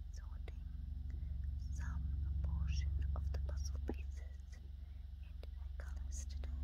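A woman talks at a fairly slow pace. Her speech has long, frequent pauses. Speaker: ASMR creator. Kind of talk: ASMR puzzle sorting. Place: home room. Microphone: phone near.

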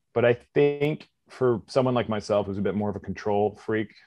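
In a Canadian accent, a man speaks with an ordinary speaking voice at a fairly low pitch and fairly even intonation. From Canada, British Columbia (Squamish). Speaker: actor and stunt performer. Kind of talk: interview.

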